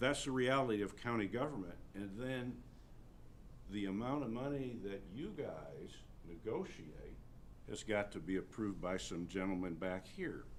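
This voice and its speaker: Lively intonation marks this man's fairly low voice. Audible room echo is present. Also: moderate pace. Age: 60s. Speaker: county attorney. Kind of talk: public meeting discussion. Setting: county commissioners meeting. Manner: halting, many repetitions.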